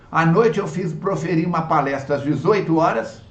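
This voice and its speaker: A man speaks at a fairly high pitch and a fairly slow pace. The room echo is audible. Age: 70s. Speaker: spiritist lecturer. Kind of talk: religious lecture. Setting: online video talk.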